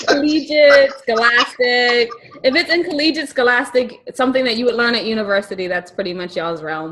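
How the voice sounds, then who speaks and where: A high-pitched woman's voice with very wide pitch swings at a fairly quick pace, against noticeable background noise. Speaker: podcast co-host. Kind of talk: casual talk show hosting.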